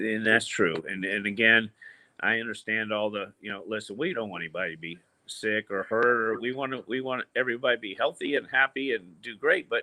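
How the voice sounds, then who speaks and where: A man with a medium pitch speaks at a fairly quick pace, using ordinary pitch variation. He has a normal speaking voice. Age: 60s. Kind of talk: casual chat.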